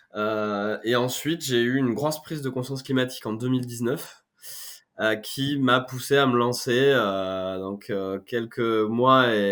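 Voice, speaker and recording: A man at a medium pitch speaks at a fairly slow pace with ordinary pitch variation. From France, Corrèze (Brive-la-Gaillarde). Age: 30s. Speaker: startup founder. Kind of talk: podcast interview.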